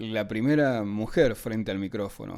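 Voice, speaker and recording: Dark and mellow, a man's voice sits at a medium pitch with ordinary pitch variation. The recording is very clean, with a silent background. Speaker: interviewer. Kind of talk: friendly interview questions.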